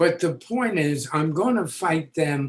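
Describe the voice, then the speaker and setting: A somewhat breathy male voice with an American accent, lively intonation and a fairly slow pace. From New York City, the Bronx. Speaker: educator and author. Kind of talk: interview.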